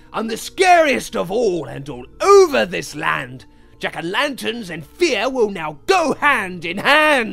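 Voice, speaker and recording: A man speaks in a put-on character voice, high-pitched and menacing, at a fairly slow pace. His loudness swings widely, and faint music plays in the background. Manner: menacing, gleeful.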